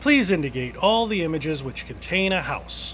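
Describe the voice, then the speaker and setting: With clear background noise behind him, a man does a robotic put-on character voice pitched high. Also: moderate pace. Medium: read story.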